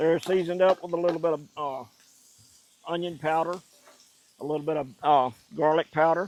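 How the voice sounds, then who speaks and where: A man's fairly high voice in a Louisiana accent, fairly quick and fairly even in intonation, broken by long, frequent pauses. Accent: Southern US (Louisiana, non-Cajun). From US South, central Louisiana, rural. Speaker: cooking channel host. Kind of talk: cooking tutorial. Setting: outdoors. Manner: casual, folksy.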